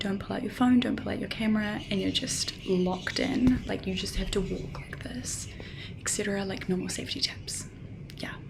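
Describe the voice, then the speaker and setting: A woman whispering at a moderate pace, with audible room echo and noticeable background noise. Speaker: travel vlogger. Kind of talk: vlog to camera. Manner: casual, many fillers; soft-spoken, talking quietly.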